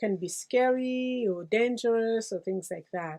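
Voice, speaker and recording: The sound is dry and close, with no echo. A woman with an American accent speaks with ordinary pitch variation. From Congo. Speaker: pastoral care coordinator. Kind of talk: interview testimony. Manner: halting.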